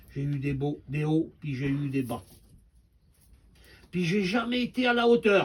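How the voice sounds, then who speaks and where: A somewhat breathy, fairly high-pitched man's voice with very wide pitch swings, a fairly slow pace and long, frequent pauses. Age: 70s. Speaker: preacher. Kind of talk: sermon.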